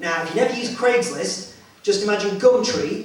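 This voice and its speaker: Fairly quick male speech amid audible room echo and noticeable background noise. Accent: English. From England. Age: 30s. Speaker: stand-up comedian. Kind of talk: stand-up. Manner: halting.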